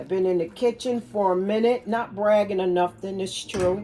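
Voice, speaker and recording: A woman of medium pitch speaks at a moderate pace with ordinary pitch variation over noticeable background noise. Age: 60s. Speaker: cooking and wellness vlogger. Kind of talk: casual kitchen demonstration. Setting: home kitchen. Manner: rambling, conversational.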